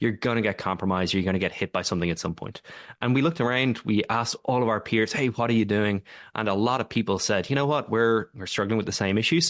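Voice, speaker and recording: A man speaks with an Irish accent at a very fast pace. The background is quiet. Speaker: tech company co-founder and executive. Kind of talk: podcast interview. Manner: hesitant, many fillers.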